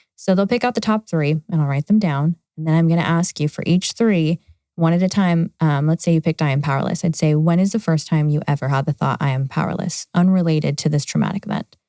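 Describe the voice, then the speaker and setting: A woman with an American accent and a fairly low, dark, mellow voice speaks at a very fast pace with hardly any pauses, in a dry, close sound with no echo. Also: ordinary pitch variation. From California. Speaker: trauma therapist. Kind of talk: interview.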